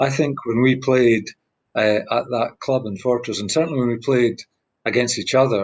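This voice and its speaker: With a Scottish accent, a man talks at a moderate pace and medium pitch, his intonation fairly even. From Scotland. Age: 60s. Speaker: badminton player. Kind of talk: interview answer.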